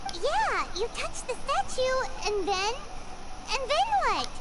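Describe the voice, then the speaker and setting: In a put-on character voice with an extremely high pitch, the speaker goes at a fairly slow pace. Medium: video game. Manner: inquisitive, direct.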